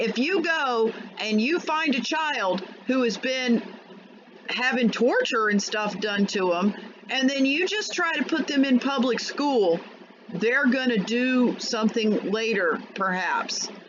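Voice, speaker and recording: The speaker goes at a very slow pace. Noticeable background noise runs underneath. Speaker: political commentary vlogger. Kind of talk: angry rant. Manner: loud, shouting.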